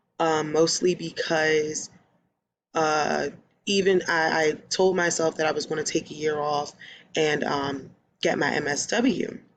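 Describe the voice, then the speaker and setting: Against a quiet background, a woman with a Philadelphia accent speaks in a very deep, low pitch with fairly even intonation. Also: fairly slow pace. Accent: Philadelphia American English. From US, Philadelphia, Pennsylvania. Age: 20s. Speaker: social work student and case manager. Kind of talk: self-introduction video.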